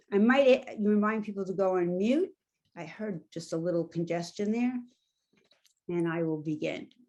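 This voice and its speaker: With a New York accent, a woman speaks at a moderate pace and medium pitch in a dark, mellow tone, leaving long, frequent pauses. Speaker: coaching trainer. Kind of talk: guided exercise; workshop facilitation. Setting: video call.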